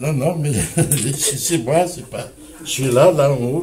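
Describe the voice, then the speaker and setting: Through noticeable background noise, a man speaks very slowly in a fairly high voice with ordinary pitch variation. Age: 70s. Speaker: community activist, association president. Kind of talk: interview answer.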